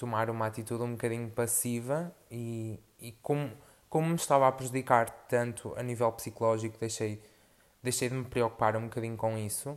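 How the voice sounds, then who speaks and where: The speaker talks at a moderate pace with monotone, flat intonation, and the recording is very clean with a silent background. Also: man. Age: 20s. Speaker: podcaster. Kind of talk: personal monologue. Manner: halting, many fillers.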